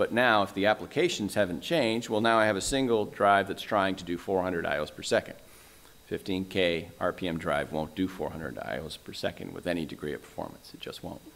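Moving at a moderate pace, a normal speaking voice shows ordinary pitch variation. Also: man, fairly low pitch for a man. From Canada. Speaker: conference speaker, storage technology presenter; conference speaker, presenter. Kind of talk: conference presentation. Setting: stage with audience. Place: hall.

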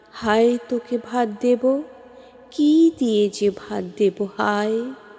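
A woman's fairly high voice with fairly even intonation over music in the background. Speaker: poetry reciter. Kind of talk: poetry reading.

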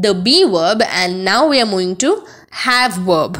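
A woman talks in a space with audible room echo. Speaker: English grammar teacher. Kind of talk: lecture.

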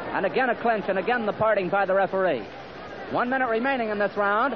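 A man talks at a very fast pace with an energetic tone and a high pitch, over noticeable background noise. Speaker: radio boxing commentator. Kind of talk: live radio sports commentary, blow-by-blow. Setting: vintage 1945 radio broadcast. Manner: fast, energetic.

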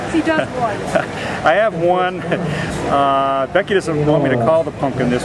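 The speech moves at a moderate pace while loud background noise plays underneath. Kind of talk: interview answer. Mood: jovial, laughing. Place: open country.

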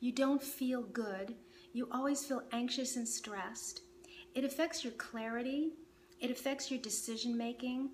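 Speaking in a calm, soothing tone, a woman has a high pitch and ordinary pitch variation. Light background noise is present. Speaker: meditation teacher. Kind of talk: guided meditation. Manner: calm, slow, soothing; gentle, instructive. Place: home room.

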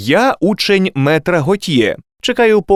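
A quiet background behind lively intonation, read aloud in a natural voice.

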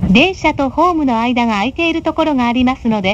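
A woman speaks at a fairly quick pace in a high pitch with lively intonation, over noticeable background noise. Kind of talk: recorded train announcement.

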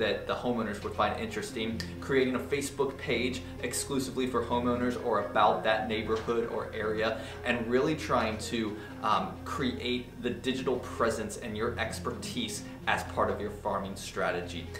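Clear music plays in the background as a man speaks at a moderate pace with ordinary pitch variation. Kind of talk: tutorial. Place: office.

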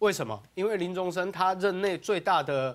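The man talks at a fairly quick pace. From Taiwan. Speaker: political commentator. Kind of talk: talk show debate. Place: studio. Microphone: lapel.

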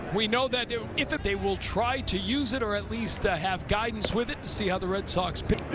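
Over noticeable background noise, a high-pitched man speaks in an animated, upbeat tone at a fairly quick pace, with ordinary pitch variation and hardly any pauses. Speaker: baseball play-by-play announcer. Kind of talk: live sports commentary, play-by-play. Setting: ballpark broadcast, game underway. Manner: rapid-fire, clipped play-by-play delivery; animated, upbeat and energetic.

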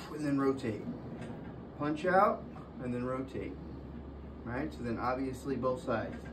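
Noticeable noise sits in the background. Over it, the man keeps a moderate pace. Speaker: fitness trainer. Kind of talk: tutorial. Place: gym. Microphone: camera far.

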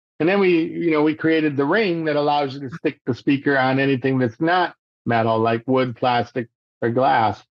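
A man with an American accent speaks at a moderate pace in a fairly high pitch with ordinary variation. The sound is dry with no echo, and the background is quiet. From Michigan, thumb area. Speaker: inventor and entrepreneur; podcast guest. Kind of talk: interview conversation. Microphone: video call.

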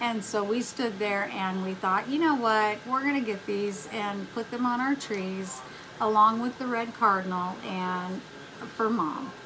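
A woman's fairly high voice at a fairly slow pace, over noticeable background noise. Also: ordinary pitch variation. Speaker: craft and haul vlogger; haul vlogger. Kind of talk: casual chat. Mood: relaxed, friendly. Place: home room. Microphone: phone near.

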